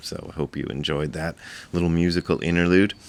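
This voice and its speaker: Quietly, a man speaks with fairly even intonation. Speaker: Zen teacher and video blogger. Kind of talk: casual vlog talk. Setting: rented apartment indoors. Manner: quiet, subdued volume.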